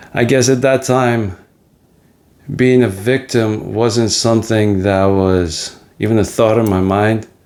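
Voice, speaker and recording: This man's pitch sits fairly low, with ordinary variation. He speaks with a Russian accent. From Soviet Ukraine, then New Jersey from age 11. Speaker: podcast host on men's mental health. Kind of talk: personal life story monologue. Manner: reflective, with frequent fillers.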